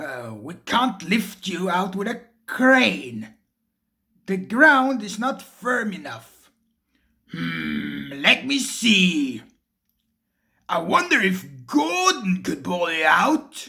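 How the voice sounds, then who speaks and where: Put-on character voice, raised and projected, with very wide pitch swings, a very slow pace and long, frequent pauses. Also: man, high pitch for a man. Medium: read story.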